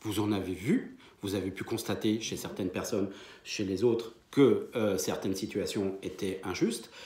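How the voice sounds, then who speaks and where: A man's fairly low, somewhat breathy voice with a dark, mellow tone, at a moderate pace with audible room echo. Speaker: medium and spiritual teacher. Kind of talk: lecture. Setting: conference hall with audience. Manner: hesitant, many fillers.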